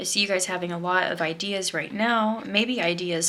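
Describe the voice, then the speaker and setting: Room echo is audible as a woman speaks at a fairly low pitch. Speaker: tarot card reader. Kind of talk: pick-a-card tarot reading. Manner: fast; casual, many filler words.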